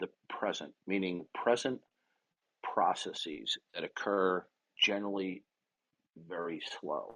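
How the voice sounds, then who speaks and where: A man's voice at a fairly slow pace, dry and close with no echo. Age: 60s. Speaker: online debater. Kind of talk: heated debate. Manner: forceful, interrupting.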